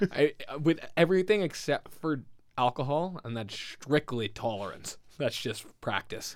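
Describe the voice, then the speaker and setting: A man with a fairly high voice talks fairly slowly, his intonation lively. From Winnipeg, Canada. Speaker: food podcast co-host. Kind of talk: casual chat. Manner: animated, laughing often.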